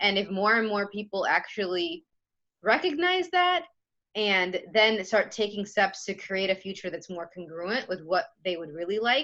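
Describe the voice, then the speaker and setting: A woman with a Spanish accent speaks at medium pitch and a moderate pace, with ordinary pitch variation. Her tone is animated, bright and sharp. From Chicago, US Midwest. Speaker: podcast host. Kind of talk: casual interview chat.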